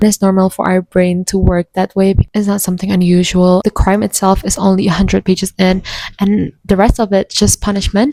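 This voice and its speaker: A woman speaks with an Indonesian accent in a dark, mellow tone. Her intonation is monotone and flat. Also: dry, close sound with no echo. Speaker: booktuber. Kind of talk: casual chat.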